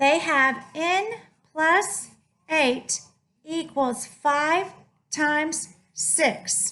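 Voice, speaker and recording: There's audible room echo around a woman speaking at a high pitch. Her raised, projected voice has a bright, sharp tone. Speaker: math teacher. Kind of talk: lecture. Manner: animated.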